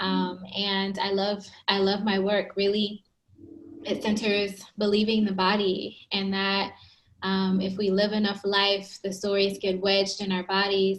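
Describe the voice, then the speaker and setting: A woman's fairly slow, monotone, flat voice at a medium pitch. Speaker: psychologist. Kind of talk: interview. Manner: soft-spoken.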